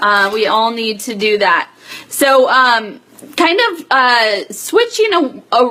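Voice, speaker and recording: A woman's very slow, lively-toned speech at a fairly high pitch, with noticeable background noise. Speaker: direct sales team leader. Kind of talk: live stream business update. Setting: Facebook Live video stream. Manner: many filler words.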